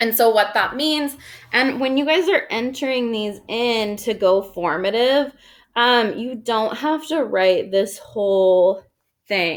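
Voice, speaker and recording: A woman speaks at a very slow pace with lively intonation. The recording is very clean, with a silent background. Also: fairly high pitch for a woman. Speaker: high school math teacher. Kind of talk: recorded video lesson. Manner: loud; casual, filler-heavy.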